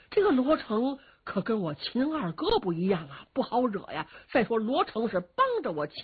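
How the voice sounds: The speaker reads aloud. It is a natural reading voice.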